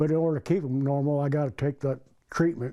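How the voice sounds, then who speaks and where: A man with an American accent speaks with fairly even intonation, fairly high pitch, and a dark, mellow tone. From Indiana, US Midwest. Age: 70s. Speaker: cancer patient. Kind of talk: interview.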